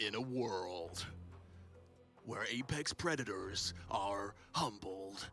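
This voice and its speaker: A put-on character voice, low-pitched and dramatic, at a very slow pace with long, frequent pauses, over clear music in the background. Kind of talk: old-fashioned.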